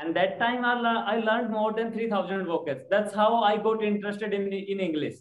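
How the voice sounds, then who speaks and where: A man with an Indian accent talks at a moderate pace in a high voice with ordinary pitch variation. Room echo is audible. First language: Hindi. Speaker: schoolteacher and English learner. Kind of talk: online English lesson. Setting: video call. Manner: halting, many fillers. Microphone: video call.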